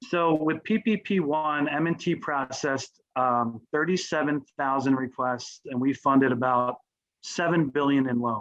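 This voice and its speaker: The man's voice sits fairly high, with ordinary pitch variation. He talks at a fairly slow pace. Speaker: business banking team leader. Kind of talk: panel discussion. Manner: energetic.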